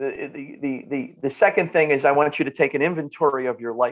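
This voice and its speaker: Talking at a very fast pace in a North Jersey accent, a man with a fairly high pitch shows ordinary pitch variation. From northern New Jersey. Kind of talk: podcast interview. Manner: animated, repetitive restarts.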